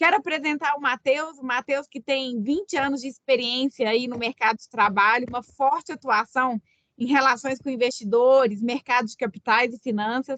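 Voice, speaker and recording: A high-pitched woman with a Minas Gerais accent, at a moderate pace with hardly any pauses, ordinary pitch variation and big swings in loudness. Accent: Minas Gerais accent, noticeable. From Minas Gerais, Brazil. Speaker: business consultant and webinar host. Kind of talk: webinar presentation. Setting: online webinar.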